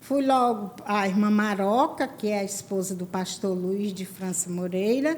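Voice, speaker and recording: A woman talks at a fairly slow pace as noticeable background noise continues around her. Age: 70s. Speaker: church women's ministry leader. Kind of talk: testimony.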